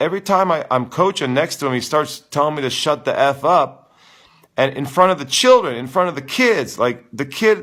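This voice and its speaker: Loud and animated in tone, a man with a fairly high pitch uses lively intonation at a moderate pace. The recording is very clean with a silent background. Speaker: tennis coach. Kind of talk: live Q and A stream. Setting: live stream.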